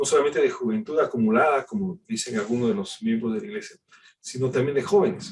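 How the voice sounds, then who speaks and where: A man with a high voice. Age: 60s. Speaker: pastor. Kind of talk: sermon.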